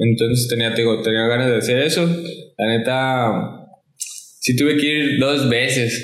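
A man speaks at a medium pitch and a fairly slow pace, with fairly even intonation. His loudness stays very even, and audible room echo surrounds the voice. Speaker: skateboarder. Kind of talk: casual chat.

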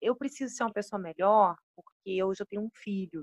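A woman with a medium pitch and lively intonation speaks at a moderate pace in a dry, close sound with no echo. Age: 30s. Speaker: psychologist. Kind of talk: casual chat.

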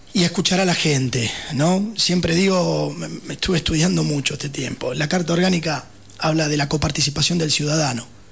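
A man with a Rioplatense accent talks at a fairly quick pace in a fairly high pitch. Noticeable background noise is present. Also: ordinary pitch variation. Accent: Argentine Rioplatense Spanish. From Buenos Aires, Argentina. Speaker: political candidate. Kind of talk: radio interview. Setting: radio studio.

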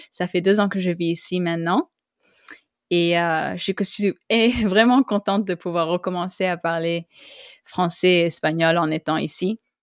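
Speaking at a fairly slow pace, a woman uses a fairly low pitch and fairly even intonation. Her long, frequent pauses sit in a dry, close sound with no echo. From Costa Rica. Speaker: podcast host. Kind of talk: interview. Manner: halting.

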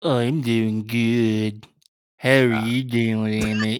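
A put-on character voice, low in pitch and very slow.

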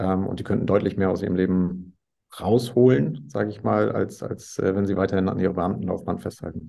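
Very deep and low in pitch, a man speaks at a fairly quick pace with vocal fry. His pitch variation is ordinary. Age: 40s. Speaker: entrepreneur in sales. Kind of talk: interview.

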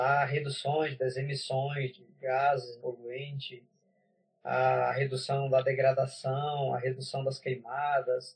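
A man is talking. There is a somewhat breathy quality to his voice. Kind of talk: interview conversation.

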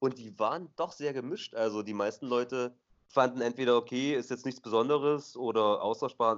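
Here is an ordinary speaking voice from a man at medium pitch. His pace is moderate and his pitch varies in an ordinary way. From eastern Germany, Dessau. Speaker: returning podcast co-host. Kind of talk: casual chat. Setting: Skype call from abroad. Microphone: poor Skype call quality.

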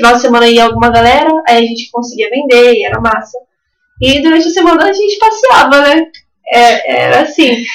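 Lively in intonation, a woman talks at a fairly quick pace and high pitch. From coastal São Paulo state, Brazil. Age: 20s. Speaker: artisan and mother. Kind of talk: casual radio interview. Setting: community radio studio.

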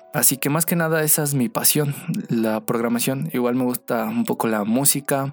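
Noticeable background noise runs under a man's voice. He speaks at a moderate pace with ordinary pitch variation. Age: 20s. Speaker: podcast host, web developer. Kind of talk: casual monologue.

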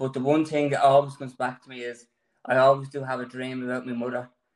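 A man with an Irish accent speaks at a medium pitch. His voice is shaky and his intonation monotone and flat. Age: 30s. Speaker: cancer patient. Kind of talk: testimony.

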